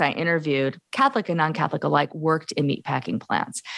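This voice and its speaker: A woman speaks at a fairly low pitch. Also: very clean recording, silent background. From US Midwest, Gary, Indiana. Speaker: professor and author. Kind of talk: interview.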